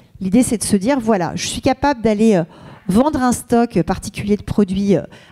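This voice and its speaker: A dark, mellow tone with ordinary pitch variation, in a dry, close sound with no echo. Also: woman, fairly high pitch for a woman. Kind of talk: conference talk. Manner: fast.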